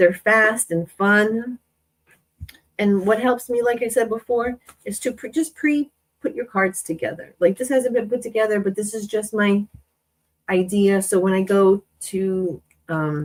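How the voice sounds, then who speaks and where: Dry and close with no echo, a woman's unremarkable speaking voice sits at a fairly high pitch with ordinary pitch variation. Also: fairly slow pace. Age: 40s. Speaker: craft YouTuber. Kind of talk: live-stream craft tutorial. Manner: casual, chatty.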